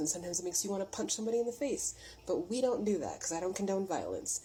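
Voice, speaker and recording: A woman talks at a very fast pace with lively intonation and medium pitch. Noticeable background noise runs underneath. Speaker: spiritual reader. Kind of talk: spiritual message vlog. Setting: getting ready for work at home.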